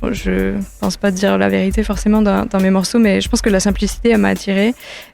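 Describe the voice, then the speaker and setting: A woman speaks with an English accent. Music plays in the background. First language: English (speaking French). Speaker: singer-songwriter. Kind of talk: interview. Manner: hesitant, many fillers.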